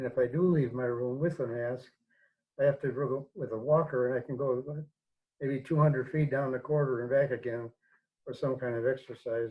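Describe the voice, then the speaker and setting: This man's medium-pitched voice is somewhat breathy and keeps a fairly even intonation. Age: 80s+. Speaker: priest and theology teacher. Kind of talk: interview. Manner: halting, many fillers.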